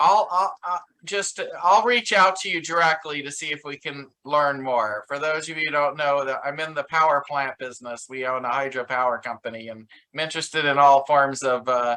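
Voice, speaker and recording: The tone is bright and sharp. The pace is moderate, with ordinary pitch variation. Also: man, fairly high pitch for a man. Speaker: event host. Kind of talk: hosting a pitch event.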